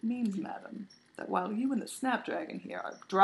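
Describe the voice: Ordinary pitch variation across plain reading aloud.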